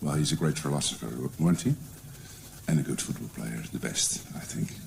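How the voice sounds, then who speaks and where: Noticeable background noise can be heard. Through it, a man talks with very wide pitch swings. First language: Dutch. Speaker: educational support advisor. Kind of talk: conference presentation. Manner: hesitant, many fillers.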